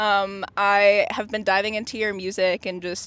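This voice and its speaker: In a very clean recording with a silent background, a woman with an unremarkable speaking voice talks at a medium pitch with lively intonation. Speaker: music interviewer. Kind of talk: interview question.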